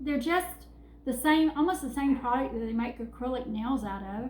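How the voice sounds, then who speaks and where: Moderate pace and ordinary pitch variation, with a Southern US accent. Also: woman. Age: 50s. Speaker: vlogger. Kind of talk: casual vlog. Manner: halting.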